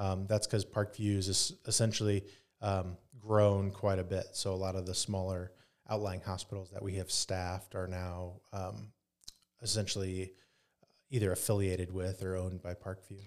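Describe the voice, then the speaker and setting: This man has a very deep, low pitch and a Midwestern American accent, speaking at a moderate pace. His intonation is monotone and flat, and the recording is very clean with a silent background. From Northeast Indiana. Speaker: emergency physician and state senate candidate. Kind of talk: interview conversation.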